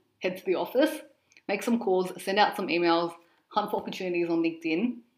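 A woman with an Australian accent speaks at a fairly quick pace, with a medium pitch and ordinary pitch variation. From Australia, Sydney. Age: 20s. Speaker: presenter and reporter. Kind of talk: interview.

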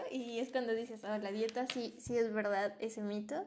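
Here is a woman with a plain, everyday voice and a fairly high pitch. She speaks at a moderate pace with fairly even intonation. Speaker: podcast co-host. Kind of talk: casual chat.

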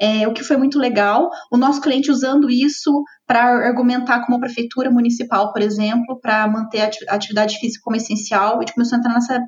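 Her voice sits high in pitch, and this woman keeps her intonation fairly even. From southern Minas Gerais, Brazil. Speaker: head of marketing. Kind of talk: interview.

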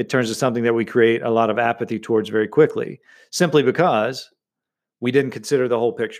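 This man talks at a fairly quick pace in an ordinary speaking voice, medium-pitched with ordinary pitch variation, on a very clean recording with a silent background. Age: 40s. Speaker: podcast host and business coach. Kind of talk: solo podcast monologue.

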